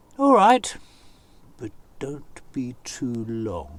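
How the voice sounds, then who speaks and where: The voice here is a put-on character voice from a man. It has a medium pitch. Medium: read story.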